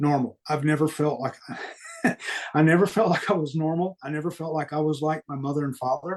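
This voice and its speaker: Pitched fairly high, a man talks at a fairly quick pace with a slight Southern US accent. His intonation stays fairly even. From US Deep South. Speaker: guest sharing paranormal experiences. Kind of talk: podcast interview.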